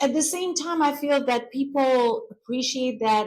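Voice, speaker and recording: A woman with an Albanian accent, at a fairly slow pace. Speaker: real estate business owner. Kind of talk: interview answer.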